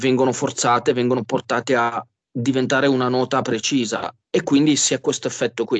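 This man has an ordinary speaking voice of medium pitch, speaking at a moderate pace with fairly even intonation. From Genoa, Liguria, Italy. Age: 40s. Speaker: musician. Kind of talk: interview.

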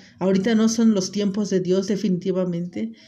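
A woman of medium pitch speaks at a moderate pace with a dark, mellow tone. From Mexico, Acapulco (Guerrero). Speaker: podcast host, stay-at-home mother. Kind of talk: personal monologue podcast. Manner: hesitant, with filler words.

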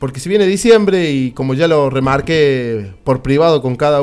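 A man with an unremarkable speaking voice talks in a fairly high pitch with lively intonation. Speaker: radio host. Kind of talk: radio interview.

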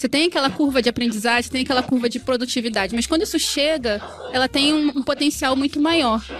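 A woman with a high-pitched voice talks with ordinary pitch variation over noticeable background noise. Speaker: diversity and inclusion consultant. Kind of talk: casual chat. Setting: recorded at a live event. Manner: calm.

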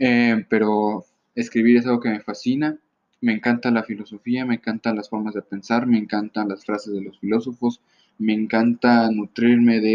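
A man speaks with a Mexican accent. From Mexico. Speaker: solo podcaster. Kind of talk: casual solo monologue.

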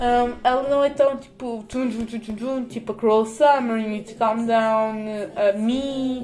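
A woman's fairly high, very slow speech over noticeable background noise. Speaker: podcaster. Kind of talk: casual monologue. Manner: animated.

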